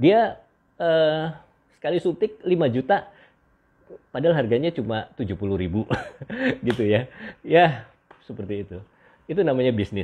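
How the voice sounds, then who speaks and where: A man at medium pitch talks at a moderate pace, his pitch swinging very widely, with long, frequent pauses. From Indonesia. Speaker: doctor hosting beauty livestream. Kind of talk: livestream monologue. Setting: live stream. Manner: halting with many fillers. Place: home room. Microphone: earbuds.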